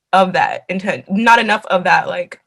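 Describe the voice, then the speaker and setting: A woman's medium-pitched voice with an American accent at a moderate pace. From Los Angeles, California. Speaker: graduate student and museum curator. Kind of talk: panel discussion. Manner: halting, many fillers.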